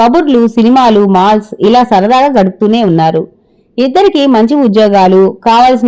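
With ordinary rises and falls in pitch, the speaker uses an unforced reading voice.

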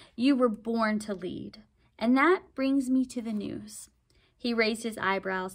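This is reading aloud in a natural voice. The pitch shows ordinary variation.

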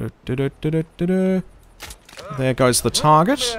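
A very slow man in an Australian accent, fairly high in pitch, over noticeable background noise. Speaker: gaming streamer. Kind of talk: live gameplay commentary.

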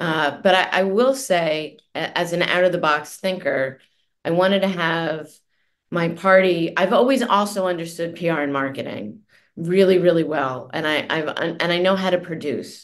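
An ordinary speaking voice from a woman, fairly low in pitch, with ordinary pitch variation and a moderate pace. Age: 50s. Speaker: journalist and author. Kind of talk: interview.

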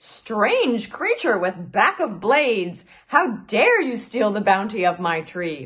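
Putting on a shrill character voice, a woman talks at a fairly high pitch. She speaks at a fairly slow pace with hardly any pauses. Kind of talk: archaic, formal. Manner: indignant, accusing.

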